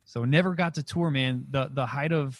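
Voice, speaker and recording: A somewhat breathy man speaks at a fairly quick pace in a dry, close sound with no echo. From New Mexico. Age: 30s. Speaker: comedian and podcast host. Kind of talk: casual chat. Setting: video call. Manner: fast.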